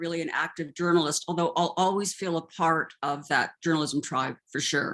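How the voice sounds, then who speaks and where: With a Canadian accent and a plain, everyday voice, a woman speaks at a moderate pace in a fairly low pitch. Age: 60s. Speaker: retired journalist. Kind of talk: interview.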